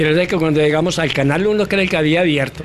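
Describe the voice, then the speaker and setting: A man with ordinary pitch variation talks at a fairly quick pace, and noticeable background noise is present. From Colombia, Antioquia (Rionegro). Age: 90s. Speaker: former footballer and sports journalist. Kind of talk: interview. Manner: animated.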